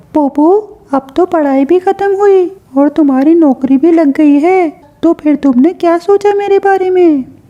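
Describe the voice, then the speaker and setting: In a cartoonish character voice of extremely high pitch, a woman speaks at a moderate pace with ordinary pitch variation and very even loudness. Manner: pushy.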